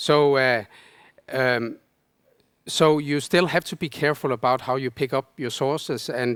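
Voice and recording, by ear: A man's clear, smooth voice at a moderate pace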